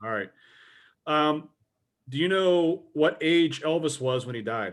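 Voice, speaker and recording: In a very clean recording with a silent background, a man with a plain, everyday voice speaks at a fairly slow pace, his fairly high pitch carried by lively intonation. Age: 40s. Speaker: podcast host. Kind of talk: casual chat.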